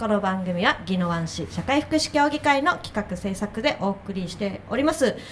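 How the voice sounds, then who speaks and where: A woman speaks at a moderate pace with very wide pitch swings over light background noise. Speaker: radio host. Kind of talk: radio show hosting. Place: studio. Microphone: studio mic.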